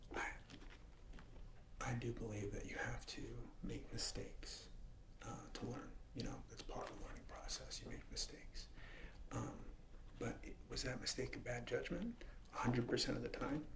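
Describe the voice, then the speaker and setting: Whispering man at a moderate pace, with long, frequent pauses. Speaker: ASMR creator. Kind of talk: ASMR soft-spoken talk to camera. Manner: soft-spoken.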